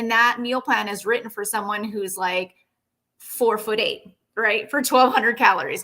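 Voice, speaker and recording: A woman speaks with a bright, sharp tone and a fairly high pitch. Her pace is moderate and her intonation fairly even. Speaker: personal trainer and nutrition coach. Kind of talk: live-stream fitness training talk. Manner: casual, filler-heavy.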